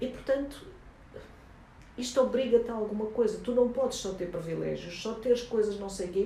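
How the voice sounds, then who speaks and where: A woman speaks fairly quickly at a fairly high pitch in an animated tone, with audible room echo and noticeable background noise. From Angola. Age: 70s. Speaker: journalist and documentary filmmaker. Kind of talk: interview.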